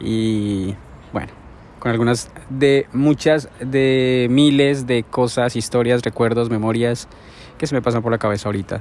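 Noticeable background noise sits behind a man's medium-pitched voice. He speaks at a fairly slow pace with fairly even intonation. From Colombia, Bogotá. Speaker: vlogger. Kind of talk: personal vlog monologue. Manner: relaxed, hesitant with fillers.

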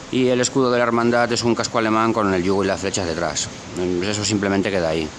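A man races through his words at a very fast pace, pitch varying in an ordinary way, with noticeable background noise behind him. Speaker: caller. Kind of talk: casual chat.

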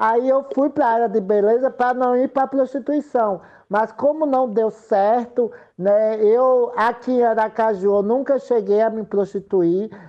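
A woman with an unremarkable speaking voice talks at a fairly slow pace, with a fairly high pitch and fairly even intonation. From Sergipe, Brazil. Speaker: political candidate and activist. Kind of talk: interview.

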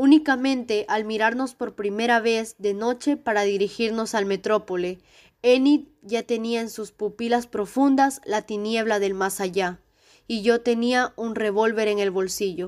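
Using a plain, everyday voice, a woman speaks at a fairly slow pace with fairly even intonation. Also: fairly high pitch for a woman, very clean recording, silent background. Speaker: narrator reading a short story aloud. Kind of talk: dramatic narration, ghost story read aloud with a tense, hushed build. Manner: tense, hushed and suspenseful, slowing down for the frightening moments.

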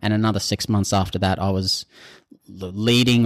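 A man with an Australian accent speaks with fairly even intonation on a very clean recording with a silent background. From North Queensland, Australia. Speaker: civil designer. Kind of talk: interview.

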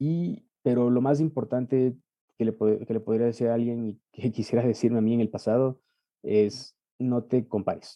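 A man speaks in a normal speaking voice at a moderate pace with fairly even intonation. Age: 30s. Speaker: medical student. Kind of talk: interview testimony.

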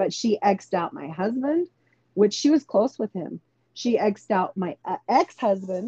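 A somewhat breathy woman's voice at a medium pitch, dark and mellow in tone, with lively intonation, a moderate pace, and a dry, close sound with no echo. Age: 40s. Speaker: podcaster and registered nurse. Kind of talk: casual chat.

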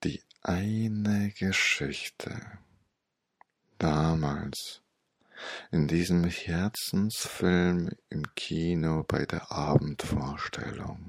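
The tone is gentle and calm. The pace is very slow, with long, frequent pauses. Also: man, very deep, low pitch for a man, ordinary pitch variation. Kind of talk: guided meditation with hypnotic story. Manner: slow, soft, calm and soothing with long pauses; gentle, dreamy, even and hypnotic cadence.

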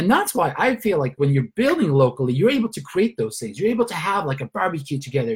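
Very fast and enthusiastic, a man talks at a fairly high pitch with very wide pitch swings and vocal fry. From Sweden. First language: Swedish. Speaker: network marketing leader. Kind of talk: motivational training call.

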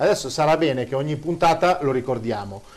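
A man talks at a fairly quick pace in a fairly high pitch. It is a plain, everyday voice. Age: 50s. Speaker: show host reading listener questions. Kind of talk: casual chat.

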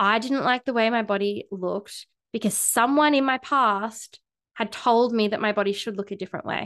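Against a quiet background, a normal speaking voice goes at a moderate pace. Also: woman. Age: 30s. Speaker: sex and relationship coach, podcast host. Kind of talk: solo podcast monologue. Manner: casual, frequent filler words.

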